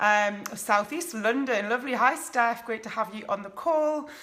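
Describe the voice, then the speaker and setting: A woman with a northeast English accent has a high pitch and a bright, sharp tone. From northeast England. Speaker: life coach. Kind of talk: live stream talk to viewers. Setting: live video stream at home. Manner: casual, many fillers.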